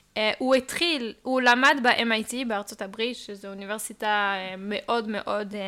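At a fairly slow pace, a woman speaks in a bright, sharp tone with a slight non-native accent. The recording is very clean, with a silent background. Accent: slight foreign. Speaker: crypto industry worker. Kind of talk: casual explanatory chat. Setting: living room.

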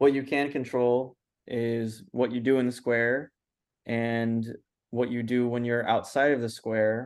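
With an American accent, a man speaks at a medium pitch and a fairly slow pace in a monotone, flat intonation. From Los Angeles, US. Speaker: filmmaker. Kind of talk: interview.

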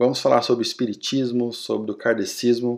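Medium in pitch, a man speaks with monotone, flat intonation. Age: 30s. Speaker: podcast host. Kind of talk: solo podcast monologue.

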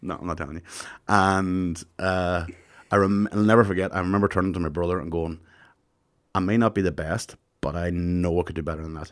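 A man with a Tyrone accent and a very deep, low pitch speaks at a fairly quick pace with fairly even intonation and long, frequent pauses, on a very clean recording with a silent background. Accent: Northern Irish, Tyrone. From Northern Ireland. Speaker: comedian. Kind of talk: casual chat.

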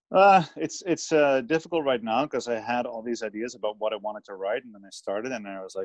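A man speaking at a fairly quick pace, slight Dutch accent, dry and close sound with no echo. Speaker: author. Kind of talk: casual interview chat.

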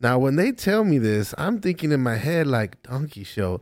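A speaker with an American accent talks at a moderate pace on a very clean recording with a silent background. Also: man. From South Texas border town. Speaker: comedian. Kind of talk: casual storytelling chat. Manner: halting, many fillers.

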